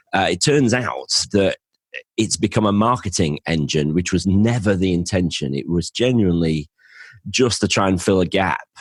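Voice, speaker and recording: Speaking at a moderate pace with a northern English accent, a man's very deep, low voice shows ordinary pitch variation in a dry, close sound with no echo, on a very clean recording with a silent background. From northern England. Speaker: financial planner and podcaster. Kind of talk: interview.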